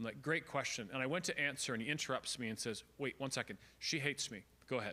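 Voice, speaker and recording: On a very clean recording with a silent background, a man with a Canadian accent talks at a very fast pace, fairly high in pitch and bright and sharp in tone. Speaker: speaker. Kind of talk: seminar talk.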